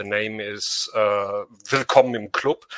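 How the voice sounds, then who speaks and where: The recording is dry and close, with no echo. A man with a German accent talks at a fairly slow pace. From Germany. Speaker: audience member. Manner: shy, halting.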